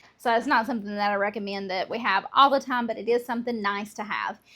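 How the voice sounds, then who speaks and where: Speaking with a Southern US accent at a very fast pace, a woman keeps a fairly high pitch and fairly even intonation on a very clean recording with a silent background. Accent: Southern American. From Southern United States. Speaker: homemaker. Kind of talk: casual cooking talk to camera.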